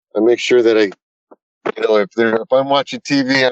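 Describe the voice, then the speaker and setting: The voice swings very widely in pitch while keeping a moderate pace. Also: man. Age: 60s. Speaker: retired naturalist and Bigfoot investigator. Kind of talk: casual storytelling interview. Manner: halting, with frequent repetitions.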